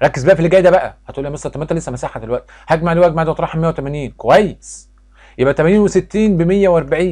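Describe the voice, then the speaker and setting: Here is a man with an Egyptian accent and a dark, mellow tone. He talks at a fairly quick pace against a quiet background. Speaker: math teacher. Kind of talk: tutorial. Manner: loud; fast.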